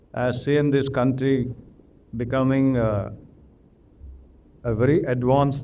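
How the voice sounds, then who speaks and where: Audible room echo surrounds a man with a dark, mellow tone and medium pitch. He speaks at a fairly slow pace with fairly even intonation. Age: 70s. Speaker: retired army officer. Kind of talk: interview.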